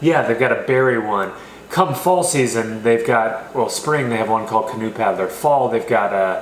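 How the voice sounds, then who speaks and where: The speaker has an American accent and talks at a moderate pace. Audible room echo and noticeable background noise come through. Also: man, medium pitch for a man. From California. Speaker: beer reviewer. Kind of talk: casual chat. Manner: casual, filler-heavy.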